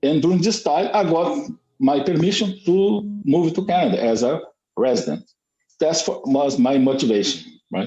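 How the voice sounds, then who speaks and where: With a southern Brazilian accent, a man speaks at a high pitch in a dark, mellow tone, his pitch swinging very widely while his loudness stays very even. His moderate pace is marked by long, frequent pauses. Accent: Brazilian gaúcho accent in English. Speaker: Brazilian emigrant to Canada. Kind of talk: casual chat in English practice group. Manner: halting.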